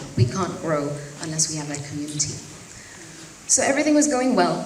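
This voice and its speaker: Both audible room echo and noticeable background noise are present in the clip. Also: woman. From Zambia. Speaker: fashion designer. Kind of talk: talk to an audience.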